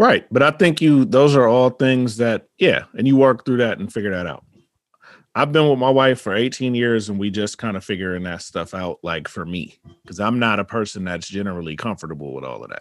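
This is a normal speaking voice from a man at medium pitch, with lively intonation at a fairly quick pace. The recording is very clean, with a silent background. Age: 40s. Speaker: podcaster. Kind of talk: casual chat.

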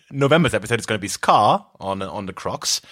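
A man talks at a moderate pace with lively intonation. His tone is bright and sharp, with vocal fry. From southern Austria (Carinthia). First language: German. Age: 30s. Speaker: podcast co-host, musician. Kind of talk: casual chat. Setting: band retreat in countryside house.

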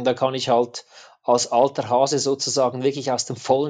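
The speech has a moderate pace. The background is quiet. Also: man. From Switzerland. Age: 40s. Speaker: adventure and action photographer. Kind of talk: interview.

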